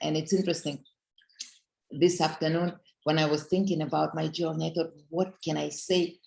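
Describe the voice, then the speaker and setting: A woman with a very deep, low voice and vocal fry talks at a fairly quick pace in a monotone, flat intonation, with long, frequent pauses. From Russia. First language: Russian. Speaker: network marketing leader. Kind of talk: motivational talk. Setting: conference call.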